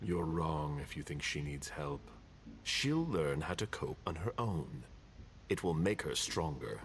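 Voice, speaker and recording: A put-on character voice at a fairly slow pace, over clear background noise. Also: man, very deep, low pitch for a man. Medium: video game. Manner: stern, curt.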